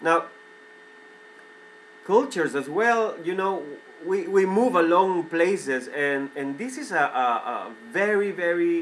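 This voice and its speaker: A man with a Spanish accent, high-pitched, very slow and lively in intonation, with long, frequent pauses and noticeable background noise. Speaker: vlogger. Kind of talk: opinion monologue. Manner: halting, repetitive; animated, heated.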